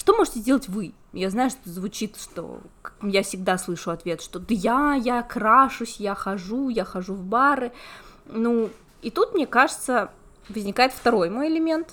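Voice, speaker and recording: Her voice is fairly high, with lively intonation and big swings in loudness. The woman speaks at a fairly slow pace. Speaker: podcast host, relationships columnist, psychology student. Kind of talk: casual chat.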